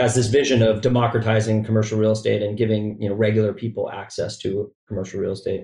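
A man speaks at a medium pitch with a dark, mellow tone. His delivery is somewhat breathy and monotone, with flat intonation. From Chicago. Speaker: chief marketing officer. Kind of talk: casual interview.

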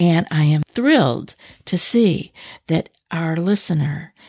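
Her tone calm, soothing, dark and mellow, a woman speaks with lively intonation in a dry, close sound with no echo. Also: very clean recording, silent background. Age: 60s. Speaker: anxiety coach and podcast host. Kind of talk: podcast monologue.

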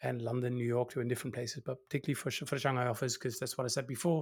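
Recorded very cleanly with a silent background, a man speaks at a medium pitch. His voice is somewhat breathy. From Netherlands. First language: Dutch. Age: 40s. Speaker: innovation consultant. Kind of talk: casual chat.

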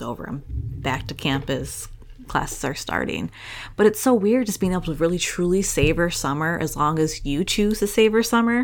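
Woman's fairly low voice with vocal fry and lively intonation. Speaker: podcast host. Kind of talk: casual chat. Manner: storyteller, smooth.

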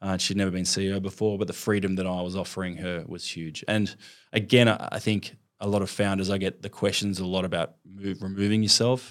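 A man with an Australian accent, fairly low-pitched and monotone, with flat intonation, on a very clean recording with a silent background. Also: fairly quick pace. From Melbourne, Australia. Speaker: fitness franchise founder. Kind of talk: interview.

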